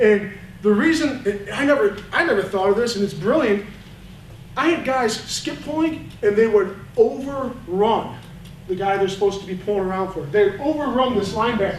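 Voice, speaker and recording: A high-pitched man's voice with lively intonation, amid noticeable background noise and audible room echo. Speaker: high school football line coach. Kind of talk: coaching clinic lecture. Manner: fast.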